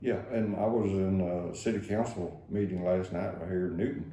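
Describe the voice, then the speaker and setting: Very deep, low male pitch with ordinary variation, an East Texas accent and audible room echo. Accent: East Texas Southern drawl. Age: 70s. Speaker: county judge. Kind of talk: radio interview. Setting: radio studio. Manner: halting, many fillers.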